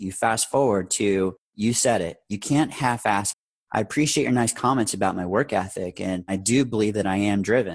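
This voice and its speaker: A man's unremarkable speaking voice, fairly low in pitch with ordinary pitch variation, a moderate pace and hardly any pauses, over a quiet background. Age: 40s. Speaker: air ambulance company founder, former paramedic. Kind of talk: interview, personal business story.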